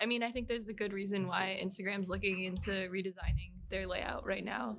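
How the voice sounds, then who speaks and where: A woman's medium-pitched voice with vocal fry, fairly even intonation, and an American accent. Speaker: graphic designer on team. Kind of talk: casual chat.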